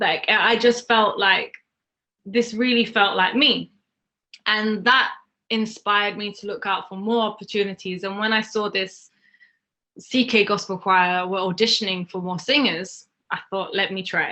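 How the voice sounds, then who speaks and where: The speaker has a London accent and a moderate pace. The intonation is fairly even. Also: woman, medium pitch for a woman. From northwest London. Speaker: singer-songwriter. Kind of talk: interview.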